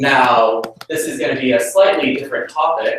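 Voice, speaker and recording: A man speaks at a moderate pace, with audible room echo around him. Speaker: chemistry graduate student, lecturer. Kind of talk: lecture. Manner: loud.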